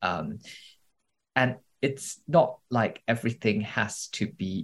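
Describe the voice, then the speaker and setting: A man's fairly low-pitched voice with vocal fry. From Singapore. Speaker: literary translator and writer. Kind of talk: interview conversation.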